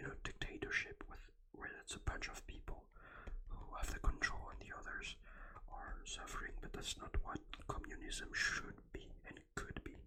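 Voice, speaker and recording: A whisper at a fairly slow pace. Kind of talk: ASMR book and game review, whispered talk to camera. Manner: hesitant with frequent filler words, explanatory.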